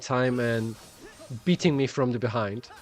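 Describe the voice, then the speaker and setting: Over music in the background, a man speaks with a German accent. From Germany. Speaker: gaming streamer. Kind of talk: live game stream commentary. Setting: live stream.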